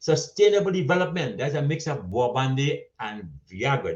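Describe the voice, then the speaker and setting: The intonation here is lively. It comes from a man with a fairly high pitch. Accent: Caribbean. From Trinidad and Tobago. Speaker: storyteller and social commentator. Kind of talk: humorous conference speech. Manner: witty, eloquent.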